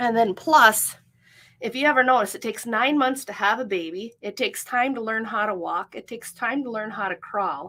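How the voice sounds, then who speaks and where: The tone is bright and sharp, at a fairly quick pace with ordinary pitch variation. The recording is very clean, with a silent background. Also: woman, fairly high pitch for a woman. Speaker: life coach and business owner. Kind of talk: live stream talk. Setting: livestream. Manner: fast.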